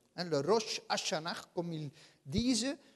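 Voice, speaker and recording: With a Dutch accent, a man talks at a very slow pace, his pitch swinging very widely. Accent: Dutch-speaking accent in French. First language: Dutch (speaking French). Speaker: guest preacher. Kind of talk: sermon. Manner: hesitant, many filler sounds.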